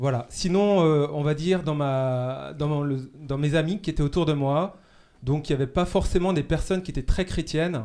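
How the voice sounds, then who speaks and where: This man has a fairly high pitch and a dark, mellow tone. He speaks at a moderate pace. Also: ordinary pitch variation. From Brittany, Morbihan (France). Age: 30s. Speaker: seminarian. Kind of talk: casual chat. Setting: studio. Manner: halting.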